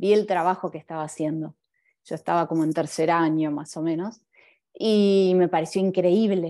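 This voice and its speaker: With a Buenos Aires accent, a woman speaks at a moderate pace with a dark, mellow tone, fairly low pitch and fairly even intonation against a quiet background. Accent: Buenos Aires Rioplatense Spanish. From Argentina. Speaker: graphic designer and illustrator. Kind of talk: talk with slides. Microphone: video call.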